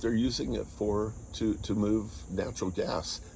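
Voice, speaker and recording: With vocal fry and a dark, mellow tone, a man speaks at a fairly low pitch and a moderate pace. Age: 60s. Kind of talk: casual talk to camera.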